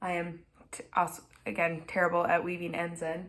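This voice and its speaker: Over audible room echo, a woman with a Minnesotan accent talks at a very slow pace in a fairly low pitch. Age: 20s. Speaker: knitting podcaster. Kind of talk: casual chat. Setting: at home. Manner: frequent filler words.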